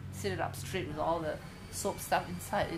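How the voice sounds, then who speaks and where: Amid noticeable background noise and audible room echo, a woman speaks fairly quickly at a fairly low pitch. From Indonesia. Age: 50s. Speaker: artist and craft educator. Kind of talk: interview. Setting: at home.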